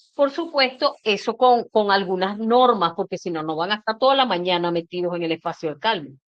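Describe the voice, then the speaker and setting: Her intonation lively, a woman with a fairly high pitch talks at a fairly quick pace. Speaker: educator and inclusion organization director. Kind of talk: webinar talk. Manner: projects voice.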